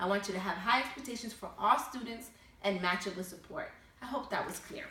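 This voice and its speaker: Audible room echo and noticeable background noise accompany a woman talking at a fairly quick pace, her fairly high voice full of lively intonation. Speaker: college professor. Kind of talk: recorded online lecture.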